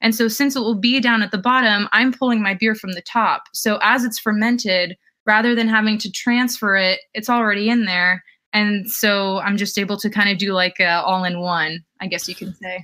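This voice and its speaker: A woman with an American accent speaks at a fairly high pitch and moderate pace, her tone bright and sharp and her intonation fairly even. The recording is very clean with a silent background. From New Jersey. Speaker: chemistry teacher and new homebrewer. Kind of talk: casual interview chat.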